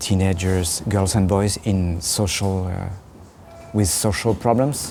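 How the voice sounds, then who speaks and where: Over noticeable background noise, a man with a French accent speaks at a fairly slow pace. His pitch is very deep and low, and his intonation fairly even. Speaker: puppeteer. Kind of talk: interview. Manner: halting.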